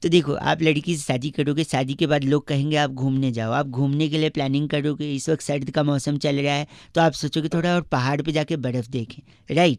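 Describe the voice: A man at a fairly high pitch, with fairly even intonation and a fairly quick pace, on a very clean recording with a silent background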